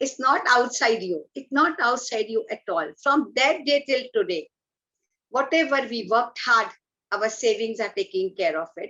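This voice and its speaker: In an Indian accent, a woman talks at a moderate pace with a high pitch and very wide pitch swings. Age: 60s. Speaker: environmental activist. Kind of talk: talk at an online event. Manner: animated.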